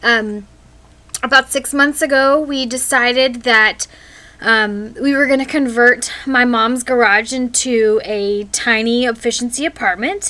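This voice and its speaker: The speaker goes at a fairly slow pace with ordinary pitch variation. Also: woman, high pitch for a woman. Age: 20s. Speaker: vlogger. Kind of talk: casual vlog intro. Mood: friendly, upbeat. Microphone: webcam.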